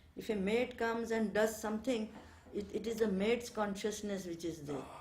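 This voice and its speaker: With audible room echo and noticeable background noise, a woman speaks in a fairly high pitch with ordinary pitch variation. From India, Bengal. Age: 70s. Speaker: ashram resident. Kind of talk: interview, reminiscence. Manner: hesitant, many fillers.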